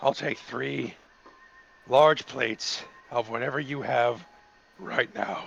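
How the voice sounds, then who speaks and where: A man speaks in a put-on character voice, raspy and at a medium pitch. His pace is fairly slow, broken by long, frequent pauses. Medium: actual play. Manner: weary, clipped.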